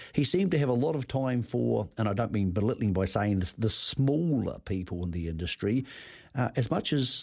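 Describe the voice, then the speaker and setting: With a New Zealand accent, a man at medium pitch talks at a moderate pace in a dark, mellow tone with lively intonation. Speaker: racing radio host. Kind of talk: radio interview. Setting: studio.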